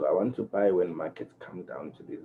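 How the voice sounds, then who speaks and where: Quietly, a man talks at a moderate pace. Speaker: forex trading educator. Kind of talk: tutorial. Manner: low-energy, quiet; halting, many fillers.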